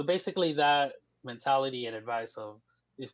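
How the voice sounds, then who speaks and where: The voice belongs to a man. He speaks with a Spanish accent. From US, grew up undocumented, born in Mexico. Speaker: writer and communications professional. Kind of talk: casual interview.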